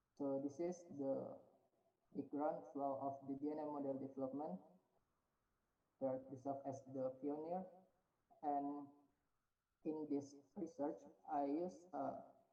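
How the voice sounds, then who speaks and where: Through audible room echo, a man with a dark, mellow tone speaks with fairly even intonation and long, frequent pauses. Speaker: researcher presenting at conference. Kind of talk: conference presentation. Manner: halting.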